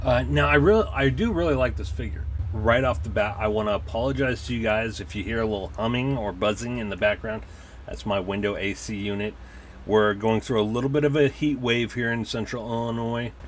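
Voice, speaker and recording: A man's fairly low voice with very wide pitch swings at a fairly quick pace, over light background noise. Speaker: toy collector reviewer. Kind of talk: casual review chat. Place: home room. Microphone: camera far.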